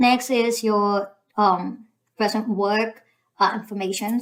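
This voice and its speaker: A woman with a Filipino accent speaks at a medium pitch in a monotone, flat delivery. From Philippines. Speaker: YouTuber giving visa application guide. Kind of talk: tutorial. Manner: hesitant, many fillers.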